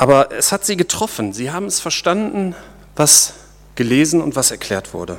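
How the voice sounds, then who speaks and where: This man's warm voice sits fairly high for a man, swinging very widely in pitch at a moderate pace with some vocal fry. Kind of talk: sermon. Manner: conversational and informal, explaining and joking; warm, earnest, teaching tone.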